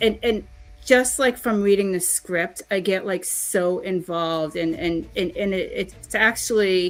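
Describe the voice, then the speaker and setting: Music plays behind a woman with a strong Boston accent. She talks at a fairly slow pace with lively intonation. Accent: Boston, pronounced. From Boston, US. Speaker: voice actor and livestream host. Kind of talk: casual livestream chat.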